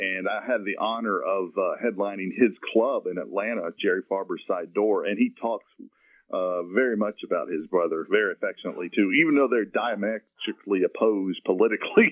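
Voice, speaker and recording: With a Southern US accent, a man talks at a fairly quick clip. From US South, Marietta, Georgia. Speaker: comedian. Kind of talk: radio interview.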